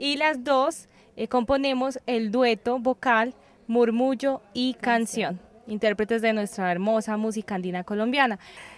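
A woman with an unremarkable speaking voice talks fairly slowly in a fairly high pitch, with ordinary pitch variation and a dry sound with no echo. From Colombia. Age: 20s. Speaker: singer. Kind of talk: interview. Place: street. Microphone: handheld.

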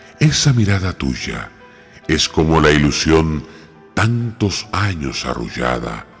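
A man talks at a very slow pace in a very deep, low pitch, making very wide pitch swings over music in the background. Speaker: poetry reciter. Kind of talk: poetry reading.

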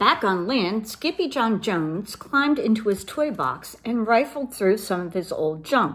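Lively intonation in a natural voice reading aloud

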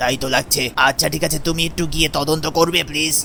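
A man uses a put-on character voice at a fairly high pitch, monotone with flat intonation. He moves at a fairly quick pace over clear background noise. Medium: machinima. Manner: calm.

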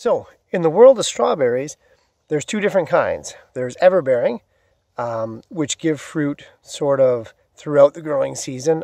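A man speaks at a moderate pace with a dark, mellow tone and lively intonation. The sound is dry with no echo, and the background is quiet. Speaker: gardening vlogger. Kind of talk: casual tutorial vlog. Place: forest. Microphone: phone near.

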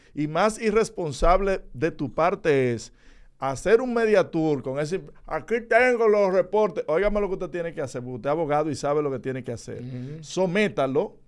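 Speaking at a moderate pace over a quiet background, a man uses lively intonation. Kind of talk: heated debate. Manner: combative. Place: studio. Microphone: studio mic.

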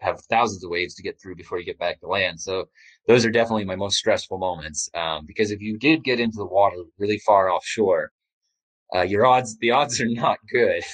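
Against a quiet background with a dry, close sound and no echo, a man in a normal speaking voice talks at a fairly quick pace and fairly low pitch, with ordinary pitch variation and big swings in loudness. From Canada. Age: 30s. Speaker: explorer and author. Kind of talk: interview.

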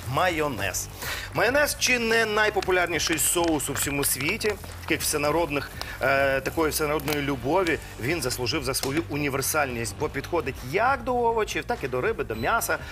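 Music plays in the background as the voice swings very widely in pitch. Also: man, fairly quick pace. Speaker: TV show cooking host. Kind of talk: tutorial. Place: studio. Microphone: lapel.

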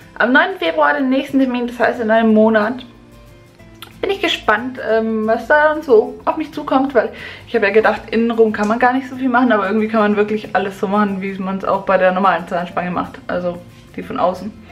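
A woman talks at a fairly quick pace while faint music plays in the background. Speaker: vlogger. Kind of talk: casual vlog chat. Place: bathroom. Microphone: phone near.

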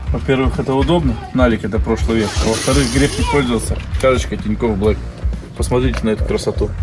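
Over music in the background, a man talks at a very fast pace. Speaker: village vlogger. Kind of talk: sponsored ad read, casual vlog chat. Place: street. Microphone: camera far.

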